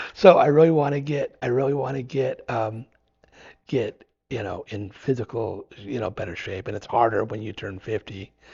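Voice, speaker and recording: A man talks at a moderate pace in an American accent, his medium-pitched voice somewhat breathy. His pitch varies in an ordinary way while his loudness swings a lot. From Idaho, US. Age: 50s. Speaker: long-distance hiker and adventure biker. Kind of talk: podcast interview. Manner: halting, many repeated words.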